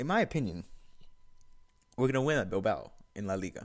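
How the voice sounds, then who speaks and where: Animated in tone, a man talks at a very fast pace on a very clean recording with a silent background. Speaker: football video blogger. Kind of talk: casual football review monologue. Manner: stuttering.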